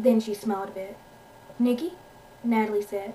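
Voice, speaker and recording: A woman speaks at a moderate pace with an American accent and a fairly high pitch. Noticeable background noise sits behind her. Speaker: amateur author reading own story. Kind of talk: audiobook-style story reading with character voices.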